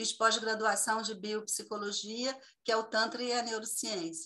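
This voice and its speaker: A woman's fairly high voice, bright and sharp in tone, at a very slow pace. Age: 60s. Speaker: tantra therapist. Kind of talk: casual video call interview.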